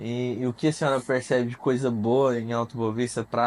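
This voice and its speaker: Monotone, flat intonation from a man at medium pitch and a moderate pace. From Mato Grosso, Brazil. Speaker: podcast host. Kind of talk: casual interview.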